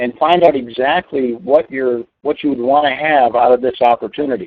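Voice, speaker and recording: A man with an unremarkable speaking voice talks at a moderate pace in a fairly high pitch, with ordinary pitch variation. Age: 60s. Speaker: network marketing trainer. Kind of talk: webinar training presentation. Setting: online webinar call.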